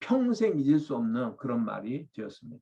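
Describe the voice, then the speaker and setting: A man speaks in a fairly high pitch. His pitch swings very widely. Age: 60s. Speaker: pastor. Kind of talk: sermon. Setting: webinar video.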